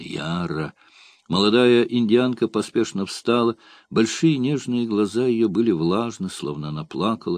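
This is delivered in an unforced reading voice.

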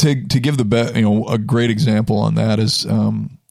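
A normal speaking voice comes from a man at a medium pitch. Ordinary pitch variation runs through it. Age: 40s. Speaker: personal trainer. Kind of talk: casual chat. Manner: many fillers.

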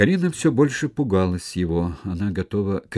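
The recording features an unforced reading voice.

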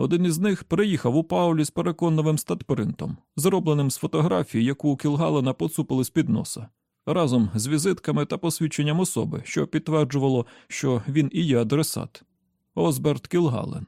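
Fairly high for a man yet dark and mellow in tone, his voice carries vocal fry and ordinary pitch variation at a fairly quick pace, with a dry, close sound with no echo on a very clean recording with a silent background.

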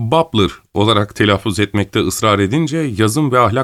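Someone reads the text aloud in a plain way.

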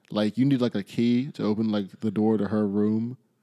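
A man's fairly low voice has a dark, mellow tone in a dry, close sound with no echo. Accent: American. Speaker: podcast host. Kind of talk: casual chat. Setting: at home in the host's apartment.

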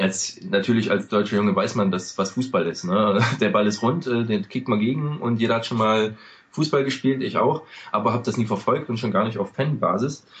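A man with a normal speaking voice, medium pitch, lively intonation, and a moderate pace. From eastern Germany. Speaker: podcast host, American football fan. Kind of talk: casual podcast chat.

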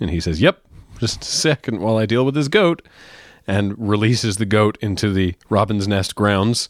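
A man speaks at a moderate pace in a fairly low pitch, with ordinary pitch variation and a plain, everyday voice. The recording is very clean, dry and close, with no echo and a silent background. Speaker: podcast host, comedian. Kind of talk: casual chat, comedic banter. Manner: playful, joking.

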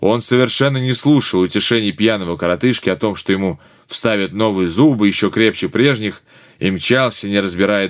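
The text is read aloud plainly. Pitch shifts are ordinary.

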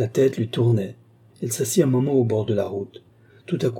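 Ordinary pitch variation across a natural reading voice

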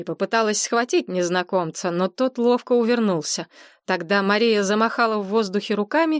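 Ordinary pitch variation in plain reading aloud

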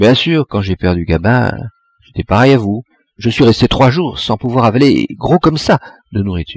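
With lively intonation, the speaker reads aloud in a natural voice, and the background stays quiet.

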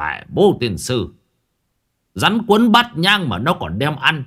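A man puts on a character voice at a medium pitch, bright and sharp in tone with a slightly husky edge and very wide pitch swings. He speaks at a slow pace on a very clean recording with a silent background.

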